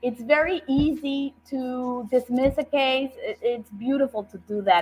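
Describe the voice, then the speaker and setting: A woman with an American accent speaks fairly slowly at a high pitch with hardly any pauses, lively intonation and big swings in loudness, while noticeable background noise plays. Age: 60s. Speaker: judicial candidate, attorney and professor. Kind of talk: interview on a talk show. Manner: earnest, emphatic.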